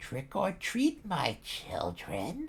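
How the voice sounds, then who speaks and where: In a put-on character voice, the speaker sounds raspy at a middle pitch. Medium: read story.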